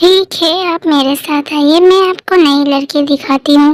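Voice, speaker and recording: A woman's put-on character voice, high in pitch, at a moderate pace with fairly even intonation and a dry, close sound with no echo. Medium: fan dub. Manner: deferential.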